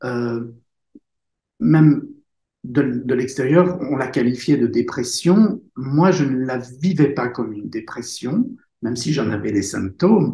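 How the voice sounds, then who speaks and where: Somewhat breathy and dark, mellow in tone, a man speaks at a very slow pace with lively intonation and long, frequent pauses. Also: medium pitch for a man. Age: 60s. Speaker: author and speaker. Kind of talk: interview testimony. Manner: halting.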